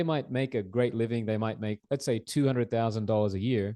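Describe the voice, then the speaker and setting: A man with an Australian accent talks very fast at a medium pitch, with fairly even intonation. His tone is dark and mellow, and the background is quiet. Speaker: mortgage broker. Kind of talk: presentation.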